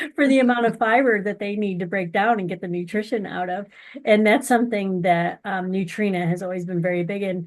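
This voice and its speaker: A woman's ordinary speaking voice at medium pitch and a fairly quick pace, with ordinary pitch variation and a quiet background. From US, grew up on a dairy farm. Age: 40s. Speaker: horse feed company representative and amateur barrel racer. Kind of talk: interview.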